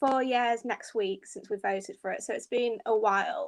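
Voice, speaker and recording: A woman's high-pitched voice in a British accent, moderate pace and lively intonation. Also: very clean recording, silent background. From England, Grimsby (Lincolnshire). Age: 20s. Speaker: political writer. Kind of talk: panel discussion.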